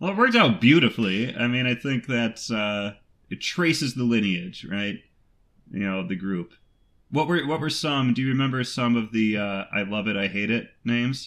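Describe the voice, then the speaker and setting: A man speaks in a plain, everyday voice at medium pitch and a moderate pace. His intonation is lively, and the recording is very clean with a silent background. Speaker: podcast host; baritone singer. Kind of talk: casual interview.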